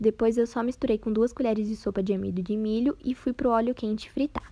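With a dark, mellow tone and a fairly high pitch, a woman talks at a fairly quick pace in fairly even intonation. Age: 20s. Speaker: food content creator. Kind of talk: recipe tutorial voiceover. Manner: casual.

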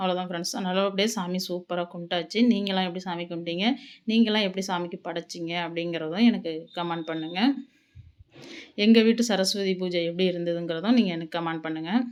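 Using a normal speaking voice, a woman at medium pitch keeps her intonation fairly even. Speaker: cooking vlogger. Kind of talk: home vlog narration. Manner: casual.

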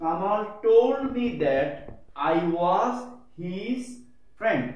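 Over audible room echo, a man speaks very slowly in a high pitch with very wide pitch swings. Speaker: school teacher. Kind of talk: lecture. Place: classroom. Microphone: camera far.

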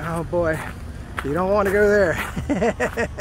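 At a very slow pace, a man speaks with a dry sound with no echo and light background noise. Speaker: walking vlogger. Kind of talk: casual vlog chat. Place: open country. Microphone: phone near.

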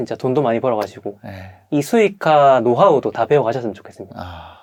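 Over a quiet background, a man talks at a fairly quick pace with a medium pitch and lively intonation. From South Korea. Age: 30s. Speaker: online business trainer, former delivery rider. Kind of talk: interview testimony. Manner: halting with frequent fillers.

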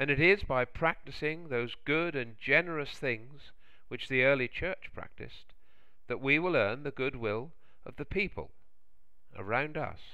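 With lively intonation, a man talks at a fairly slow pace and a medium pitch.

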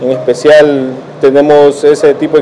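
This man's ordinary pitch variation comes through with light background noise behind him. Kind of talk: interview answer. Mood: friendly promotional. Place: cafe. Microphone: handheld.

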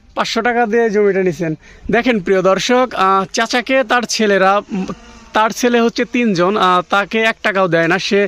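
This man's voice is high in pitch. It comes across dry and close, without echo. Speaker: village vlogger. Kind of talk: vlog narration and field interviews.

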